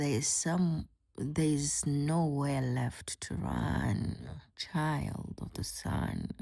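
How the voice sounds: Someone uses a put-on character voice that is raspy and low-to-middle in pitch. The delivery comes at a very slow pace.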